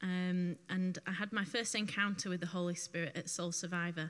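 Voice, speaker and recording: At a moderate pace, a voice with a northwest English accent comes through in a bright, sharp tone. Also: woman. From northwest England. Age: 20s. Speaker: testimony giver. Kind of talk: testimony. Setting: church.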